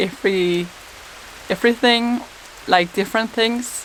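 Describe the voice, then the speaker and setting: There is noticeable background noise as a woman talks with fairly even intonation. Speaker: YouTuber. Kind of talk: casual talk to camera.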